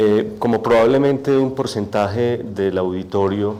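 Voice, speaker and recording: A soft-spoken man, fairly low-pitched, at a very slow pace with audible room echo. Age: young. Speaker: poet and author. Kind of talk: testimony. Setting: auditorium with audience, microphone.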